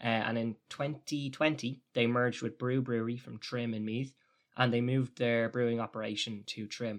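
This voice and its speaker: A man with an Irish accent speaks at medium pitch in a monotone, flat way. His pace is moderate against a quiet background. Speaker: podcast co-host. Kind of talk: casual chat.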